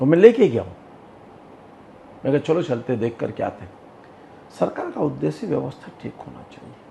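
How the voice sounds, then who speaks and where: Big swings in loudness and long, frequent pauses from a man speaking at a moderate pace. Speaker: politician, state legislator. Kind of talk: interview answer.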